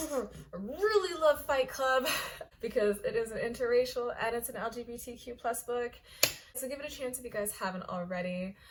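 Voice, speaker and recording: Over noticeable background noise, a woman with an American accent and fairly high pitch talks at a fairly quick pace with lively intonation. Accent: sounds American. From Kenya. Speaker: online fiction writer and vlogger. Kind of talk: casual vlog chat. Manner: casual, filler-heavy.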